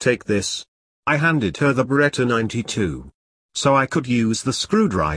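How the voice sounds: A natural reading voice is heard with little behind it but quiet.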